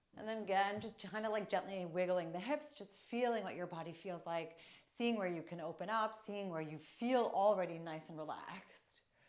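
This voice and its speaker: A woman's moderately paced speech at medium pitch with an American accent and ordinary pitch variation, amid noticeable background noise and audible room echo. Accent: Long Island accent, may come out stronger. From US, Long Island, New York. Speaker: wellness coach. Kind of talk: casual vlog talk and guided movement session. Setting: family home.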